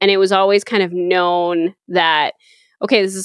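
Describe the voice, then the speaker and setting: Over a quiet background, a woman speaks in a plain, everyday voice at medium pitch and a moderate pace. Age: 20s. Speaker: audio engineer. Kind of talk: casual interview chat.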